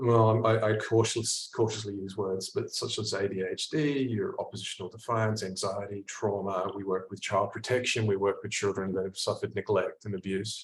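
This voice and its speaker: Over noticeable background noise, a man with an Australian accent speaks with hardly any pauses. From Australia (Perth). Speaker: clinical psychologist. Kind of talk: online workshop presentation. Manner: fast; halting, many fillers and repeats.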